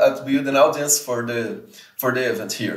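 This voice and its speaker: With a Portuguese accent, a man speaks with ordinary pitch variation over a quiet background, and audible room echo can be heard. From Brazil, Serra (Espírito Santo); Brazil. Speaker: community manager and researcher; interview guest. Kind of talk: casual interview. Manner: halting, frequent repetitions and fillers. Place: home room.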